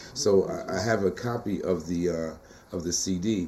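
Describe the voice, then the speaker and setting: A man with a fairly low pitch amid noticeable background noise. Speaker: poet and teacher. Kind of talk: interview. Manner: animated.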